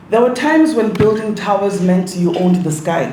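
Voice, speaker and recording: A high-pitched man at a moderate pace with ordinary pitch variation, audible room echo, and noticeable background noise. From Eswatini. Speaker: keynote speaker. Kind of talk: keynote speech. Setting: conference hall with audience.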